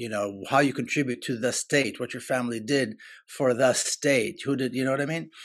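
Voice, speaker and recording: A man with an Israeli accent talks at a fairly quick pace in a medium pitch with ordinary pitch variation. The recording is very clean, with a silent background. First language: Hebrew. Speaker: author and activist. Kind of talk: interview. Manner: halting.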